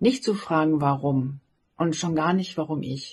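A woman's very deep, low voice with vocal fry, at a very slow pace and with ordinary pitch variation. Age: 50s. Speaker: blogger and author, cancer survivor. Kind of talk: personal message of encouragement.

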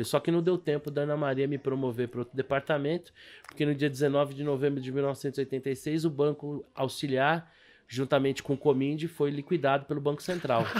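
A man speaks in an unremarkable speaking voice, moderately paced and fairly high in pitch. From Brazil, Rio de Janeiro. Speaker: stock market broker and investment advisor. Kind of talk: casual interview chat.

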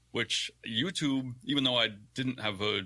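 The man's tone comes across bright and sharp in a very clean recording with a silent background. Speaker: guest content creator and streamer. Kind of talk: casual interview chat.

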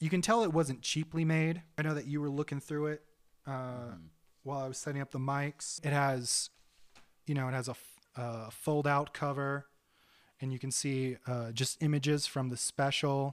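With an unremarkable speaking voice, a man talks at a moderate pace and a fairly high pitch with fairly even intonation, on a very clean recording with a silent background. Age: 30s. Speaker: podcast host and rock musician. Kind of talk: casual chat.

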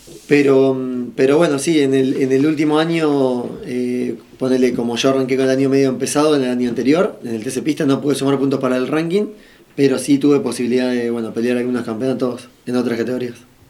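A man talks at a very fast pace and medium pitch, his tone dark and mellow. His intonation is fairly even, and audible room echo surrounds him. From Argentina. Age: 30s. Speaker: racing driver. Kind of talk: interview.

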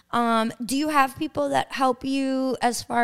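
A woman with a Long Island accent talks with ordinary pitch variation. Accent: New York (Long Island). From Long Island, New York. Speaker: podcast host and DJ. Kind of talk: interview. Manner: animated.

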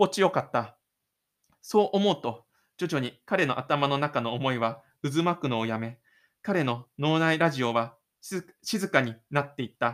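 On a very clean recording with a silent background, a man speaks fairly slowly at a fairly high pitch with lively intonation. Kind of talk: audio drama narration with in-character inner monologue. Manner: dramatic, expressive storytelling, shifting to a casual chatty tone when closing the show; self-deprecating, gloomy inner-monologue delivery for the lonely protagonist.

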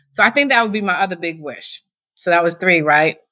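A woman at medium pitch talks in a bright, sharp tone with an American accent. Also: very clean recording, silent background. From Massachusetts. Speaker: nonprofit founder. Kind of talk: interview.

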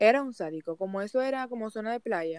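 A woman of medium pitch, a plain, everyday voice, speaks at a moderate pace in a dry, close sound with no echo. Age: 20s. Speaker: migrant small baker. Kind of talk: interview.

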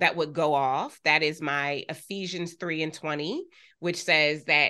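A woman's very deep, low-pitched voice with a bright, sharp tone and fairly even intonation, against a quiet background. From US, Delaware (Wilmington). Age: 40s. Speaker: business coach and CEO. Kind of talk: interview conversation.

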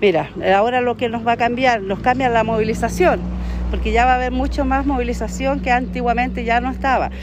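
A woman is speaking in a space with audible room echo. Noticeable background noise is also present. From Chile, Valparaíso region (Limache area). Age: 40s. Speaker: neighborhood association president. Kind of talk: street interview.

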